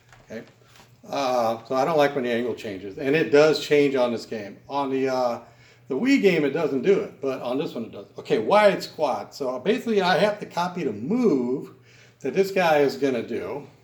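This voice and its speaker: At a moderate pace, a man speaks in a normal speaking voice with lively intonation. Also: fairly high pitch for a man. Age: 60s. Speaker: gaming YouTuber. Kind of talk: gameplay commentary. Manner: casual, conversational.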